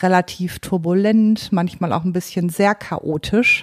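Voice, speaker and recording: A woman at a very slow pace, her pitch medium and her intonation fairly even. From Paderborn, Germany. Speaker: HR and recruiting executive. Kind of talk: interview.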